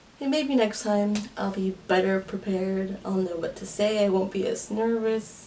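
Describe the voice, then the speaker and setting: A woman's medium-pitched voice, fairly even in intonation, is heard against noticeable background noise. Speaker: YouTuber, K-pop fan. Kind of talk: casual vlog monologue. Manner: fast; halting, filler-heavy.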